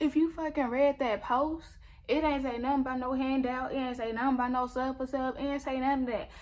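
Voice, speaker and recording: A woman's high-pitched, flat monotone at a fairly quick pace. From US. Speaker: YouTuber. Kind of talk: angry rant. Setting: home video recording. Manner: indignant, sassy. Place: home room. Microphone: phone near.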